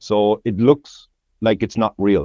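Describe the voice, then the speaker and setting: A man with a Cork accent. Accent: Cork Irish. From Ireland, County Cork. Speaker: landscape photographer. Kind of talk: podcast interview.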